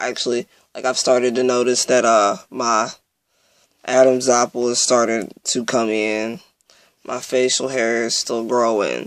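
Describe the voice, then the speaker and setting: Speaking at a fairly slow pace, a man with a medium pitch keeps a monotone, flat intonation. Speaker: vlogger. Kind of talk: personal video update. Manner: halting, many fillers.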